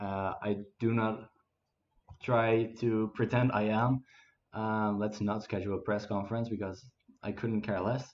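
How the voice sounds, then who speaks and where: A man with a Dutch accent speaks at a fairly slow pace in a fairly low, monotone, flat voice, with long, frequent pauses. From Netherlands. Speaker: gaming streamer. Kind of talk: casual gameplay commentary. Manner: halting, many fillers.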